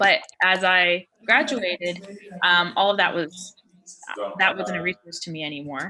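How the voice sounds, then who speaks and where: In a very clean recording with a silent background, a woman talks at a fairly slow pace in a fairly low pitch, her tone bright and sharp. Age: 20s. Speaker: filmmaker. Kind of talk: workshop presentation. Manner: casual, many filler ums.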